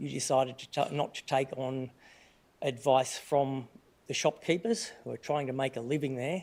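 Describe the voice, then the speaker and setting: A man with a medium pitch and an Australian accent speaks at a fairly quick pace with fairly even intonation. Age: 60s. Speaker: resident asking question at council meeting. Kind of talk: public question at council meeting. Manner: halting, many fillers and restarts.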